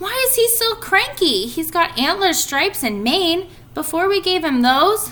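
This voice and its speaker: A woman's put-on character voice, extremely high-pitched, at a moderate pace over light background noise. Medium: read story.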